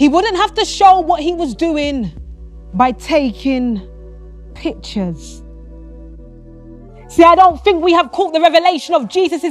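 A woman's high voice with lively intonation, fairly slow with long, frequent pauses, dry with no echo, faint music in the background. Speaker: spoken word poet. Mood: devotional, earnest. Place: studio.

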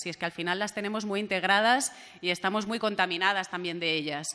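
A bright, sharp tone at a fairly quick pace, with ordinary pitch variation. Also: woman. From Valencia, Spain; Spain. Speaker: regional MP and journalist; journalist. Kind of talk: panel discussion; panel debate talk. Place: meeting room. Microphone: podium.

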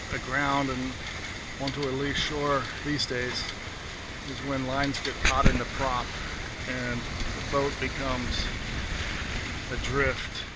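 Very slow speech with long, frequent pauses over loud background noise. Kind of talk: casual sailing commentary. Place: boat.

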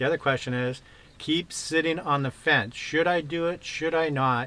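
A man with an ordinary speaking voice, a fairly high pitch and a moderate pace. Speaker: vlogger interviewing a van lifer. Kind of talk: casual interview.

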